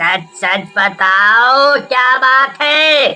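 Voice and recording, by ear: This is a cartoonish character voice that sounds female. Its pitch is high for a woman.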